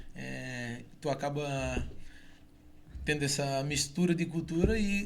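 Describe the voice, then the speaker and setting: Amid noticeable background noise and audible room echo, a man with a fairly high pitch and ordinary pitch variation talks at a very slow pace with long, frequent pauses. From southern Brazil, Itajaí, Santa Catarina. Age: 40s. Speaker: former footballer. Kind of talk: radio interview. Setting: radio studio.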